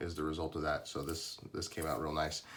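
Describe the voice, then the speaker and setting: The voice has a somewhat breathy quality. Words come at a fairly quick pace. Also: man. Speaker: custom lightsaber maker. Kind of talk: product demo tutorial. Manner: hesitant, many fillers.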